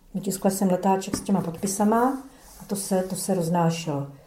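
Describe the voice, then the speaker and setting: A woman at a medium pitch with ordinary pitch variation, in audible room echo. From Czechia, Brno (South Moravia). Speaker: former dissident, eyewitness. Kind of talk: oral history testimony. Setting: archive interview recording.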